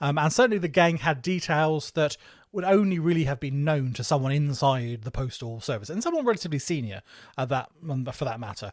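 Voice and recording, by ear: A man's fairly high voice with an English accent, fairly quick pace and lively intonation, on a very clean recording with a silent background.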